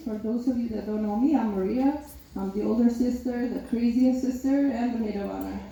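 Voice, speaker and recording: A woman with a Macedonian accent speaks at a fairly quick pace in a high voice with fairly even intonation, with audible room echo and noticeable background noise. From North Macedonia. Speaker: maid of honor. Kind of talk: wedding speech. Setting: wedding reception.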